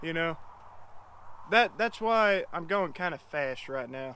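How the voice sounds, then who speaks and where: A very slow, high-pitched male voice, bright and sharp in tone with lively intonation. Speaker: DIY truck mechanic vlogger. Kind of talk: casual tutorial.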